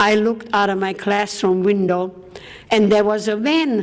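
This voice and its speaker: A woman with a German accent talks at a medium pitch. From Austria. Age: 80s+. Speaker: war survivor speaker. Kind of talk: testimony.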